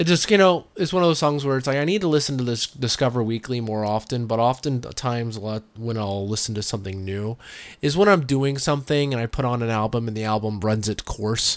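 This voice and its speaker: A man's plain, everyday voice at a medium pitch, with ordinary pitch variation and a fairly quick pace. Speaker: podcast host. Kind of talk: casual chat. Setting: remote recording. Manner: laid-back, chatty.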